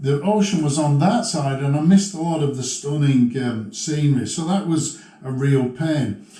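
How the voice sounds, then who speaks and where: Over noticeable background noise and audible room echo, a man with a fairly high pitch speaks at a moderate pace with lively intonation. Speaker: motovlogger. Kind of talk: tutorial. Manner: casual, halting with fillers. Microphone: muffled sound during helmet demo.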